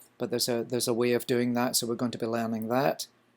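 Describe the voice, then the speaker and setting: A man with a slight Scottish accent and medium pitch, in a very clean recording with a silent background. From Scotland. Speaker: culinary instructor. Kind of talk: lecture.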